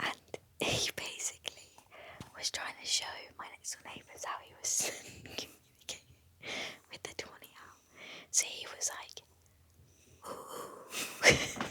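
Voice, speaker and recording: A woman whispers at a fairly slow pace with big swings in loudness and long, frequent pauses, against noticeable background noise. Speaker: podcast co-host. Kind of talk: casual chat. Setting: wildlife hide at night. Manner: whispering.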